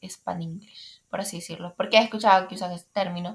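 A woman speaks at a fairly quick pace. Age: young. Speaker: podcaster. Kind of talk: casual monologue. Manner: hesitant, many fillers.

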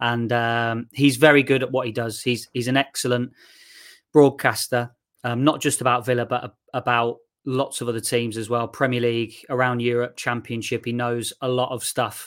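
A man speaks in a medium pitch at a moderate pace. His intonation is monotone and flat. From English West Midlands (Shirley, Solihull). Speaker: sports news presenter. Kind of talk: casual interview chat. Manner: hesitant, many fillers.

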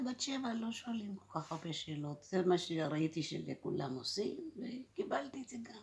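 Somewhat breathy, a woman speaks at a fairly slow pace with hardly any pauses and very wide pitch swings. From India (Cochin), raised in Israel from age 7. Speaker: interviewee sharing childhood memories. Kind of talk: personal testimony.

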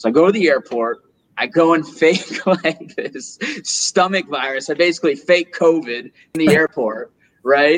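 This man has an upstate New York accent and a fairly high pitch. He keeps a moderate pace with ordinary pitch variation. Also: dry, close sound with no echo. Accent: American, upstate New York. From US, Rochester, New York. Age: 20s. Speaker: entrepreneur. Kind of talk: casual interview.

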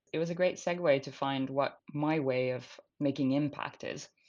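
A woman's very deep, low pitch in a Finnish accent, against a quiet background. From Finland. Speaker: climate tech startup founder and CEO. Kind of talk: interview. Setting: remote recording.

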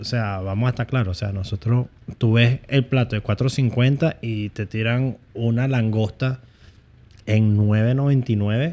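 In a very clean recording with a silent background, a man with a dark, mellow tone and a medium pitch speaks at a very slow pace with fairly even intonation. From United States, Venezuelan family. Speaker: YouTuber. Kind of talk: casual chat.

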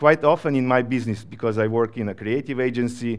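In a Slovenian accent, a man talks at a fairly quick pace with a medium pitch and ordinary pitch variation. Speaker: creative agency professional. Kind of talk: conference talk.

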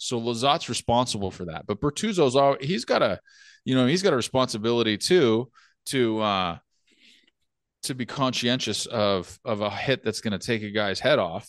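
An ordinary speaking voice with an American accent, lively in its intonation and moving at a moderate pace. The sound is dry and close with no echo, over a quiet background. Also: man, medium pitch for a man. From California. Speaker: podcast co-host. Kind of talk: casual chat.

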